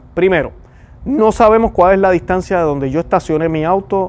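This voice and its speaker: A man speaks in a Puerto Rican accent at a moderate pace, with ordinary pitch variation. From Puerto Rico. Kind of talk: religious commentary.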